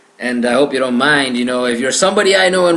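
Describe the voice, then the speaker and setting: A man talks very fast with a slight Mexican accent and lively intonation. There is noticeable background noise and audible room echo. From Mexico. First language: Spanish. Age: young. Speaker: gaming podcaster. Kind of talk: solo podcast monologue. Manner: hesitant with frequent fillers.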